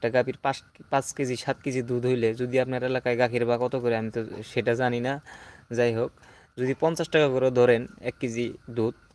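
The sound is dry and close with no echo. A man talks at a medium pitch with monotone, flat intonation. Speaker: farmer and former migrant worker. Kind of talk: casual livestream talk. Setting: outdoors at night.

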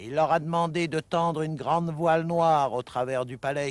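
A man talks at a moderate pace with ordinary pitch variation, in an ordinary speaking voice. The recording is very clean, with a silent background. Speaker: traditional storyteller. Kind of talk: folk tale storytelling.

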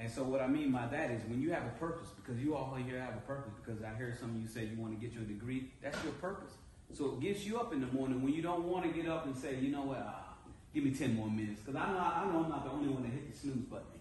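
A man with an American accent at a very fast pace, ordinary pitch variation, audible room echo and light background noise. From Naples, Italy (US military family). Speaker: motivational speaker, Navy veteran. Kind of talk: motivational talk to an audience. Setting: stage with audience. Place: hall. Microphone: camera far.

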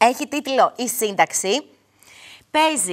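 The voice moves through very wide pitch swings. Behind it, the background is quiet. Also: woman. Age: 30s. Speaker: TV show host. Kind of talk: studio show presenting. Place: studio. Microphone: lapel.

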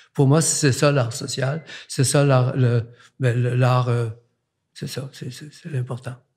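A man speaks very slowly in a flat monotone, medium in pitch and somewhat breathy. He leaves long, frequent pauses against a quiet background. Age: 80s+. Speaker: artist; guest. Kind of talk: casual chat; interview answer. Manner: halting. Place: studio. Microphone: studio mic.

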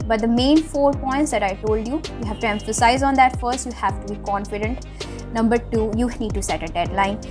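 Clear music plays behind a woman who talks at a fairly quick pace. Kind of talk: motivational talk. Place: home room. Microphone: webcam.

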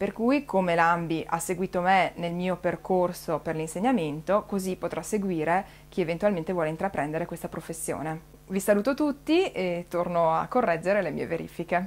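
At a moderate pace, a woman speaks in a fairly low pitch with ordinary pitch variation. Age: 30s. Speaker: teacher. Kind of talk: personal testimony. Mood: calm, friendly. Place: home room. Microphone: webcam.

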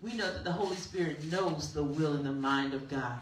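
A woman speaks with audible room echo. Light background noise can be heard. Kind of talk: spoken prayer. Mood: fervent, worshipful. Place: church. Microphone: handheld.

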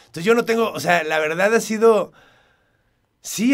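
A man speaks at a high pitch and a moderate pace. His intonation is lively. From Mexico, part of childhood in El Paso, Texas. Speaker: actor. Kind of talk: interview.

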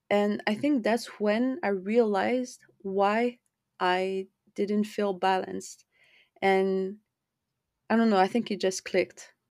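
A woman speaks in a French accent at medium pitch with ordinary pitch variation. She goes very slowly, with long, frequent pauses. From France. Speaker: podcast host. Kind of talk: personal monologue.

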